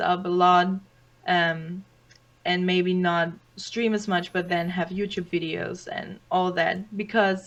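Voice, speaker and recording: Noticeable background noise sits behind a woman of medium pitch who speaks at a very slow pace. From Germany. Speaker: streamer and student. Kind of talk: casual interview. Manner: halting, many repeats.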